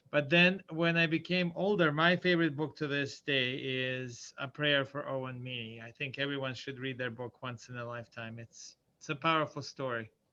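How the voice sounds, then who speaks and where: A man with a Bosnian accent at a moderate pace with hardly any pauses, fairly high in pitch with ordinary pitch variation, a bright, sharp tone and big swings in loudness, over a quiet background. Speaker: school administrator. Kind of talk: casual chat.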